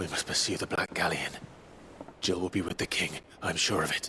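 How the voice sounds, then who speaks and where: Putting on a character voice with a very deep, low pitch, a man talks at a fairly quick pace over clear background noise. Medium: video game. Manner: calm, measured.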